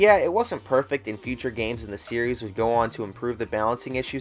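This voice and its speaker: A man at medium pitch and a fairly quick pace, with ordinary pitch variation and music in the background. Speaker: video game reviewer. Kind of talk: narrated top-list video.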